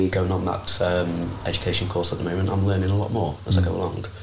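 Amid noticeable background noise and audible room echo, a man with a very deep, low pitch talks at a very fast pace. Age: 20s. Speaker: personal trainer. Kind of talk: casual chat.

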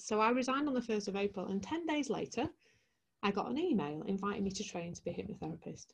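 Very fast and somewhat breathy, a woman of medium pitch speaks with a Yorkshire accent and very wide pitch swings. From West Yorkshire, Leeds. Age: 40s. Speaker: transformational coach. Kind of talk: interview storytelling.

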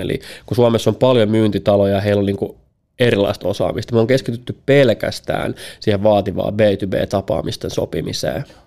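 A man speaks with a dark, mellow tone at a fairly low pitch. His intonation stays fairly even, and his pace is moderate. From Finland. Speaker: sales executive and speaker. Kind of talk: podcast interview. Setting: studio. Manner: halting, many fillers.

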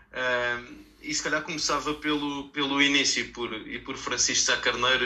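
Fairly slow and in a flat monotone, a man speaks. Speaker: local politician and podcast panelist. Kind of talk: interview.

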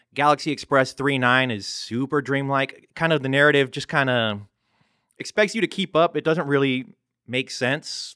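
A man's fairly high, bright, sharp voice at a moderate pace, on a very clean recording with a silent background. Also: ordinary pitch variation, dry, close sound with no echo. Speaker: podcast host. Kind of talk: casual chat.

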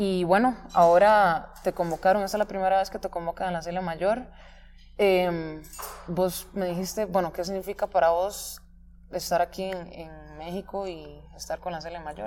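With a Costa Rican accent, a woman talks at a moderate pace in a medium pitch, her intonation fairly even but her loudness swinging widely. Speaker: podcast host. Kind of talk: interview.

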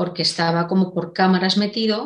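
A woman with a Castilian accent speaks at a fairly slow pace, her medium-pitched voice holding a fairly even intonation. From Spain, Segovia. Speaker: novelist. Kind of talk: interview.

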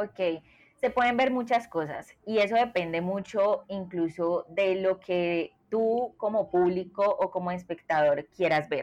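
Speaking very slowly with hardly any pauses, a woman keeps a very even loudness, a medium pitch and ordinary pitch variation against a quiet background. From Colombia. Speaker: product designer. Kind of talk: interview.

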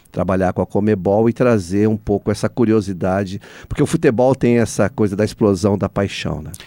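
A man with a dark, mellow tone and a fairly low pitch speaks at a fairly quick pace, using ordinary pitch variation. The sound is dry and close with no echo, in a very clean recording with a silent background. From São Paulo state interior (Aguaí). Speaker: cultural foundation president, journalist. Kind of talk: radio interview.

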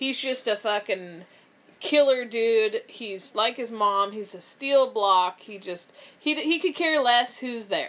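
Speaking at a very slow pace, a woman with a fairly high pitch uses lively intonation and big swings in loudness. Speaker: podcast co-host. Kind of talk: casual chat. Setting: studio.

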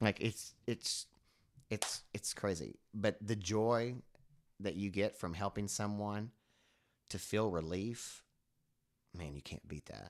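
With an American accent, a man speaks at a fairly low pitch and a very slow pace, with fairly even intonation and long, frequent pauses, on a very clean recording with a silent background. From rural Oklahoma. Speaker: cannabis consultant. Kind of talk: casual chat.

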